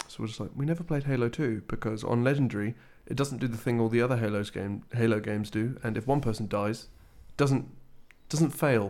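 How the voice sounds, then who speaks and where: A man with a British accent, medium pitch, ordinary pitch variation and a fairly quick pace. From Britain. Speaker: video game podcast co-host. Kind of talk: casual chat.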